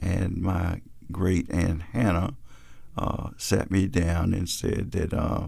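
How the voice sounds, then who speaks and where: Very slow and somewhat breathy, the voice has a dark, mellow tone and fairly even intonation. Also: man, very deep, low pitch for a man. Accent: Virginia. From Fredericksburg, Virginia. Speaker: reverend. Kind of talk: oral history narrative. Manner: hesitant, with frequent fillers.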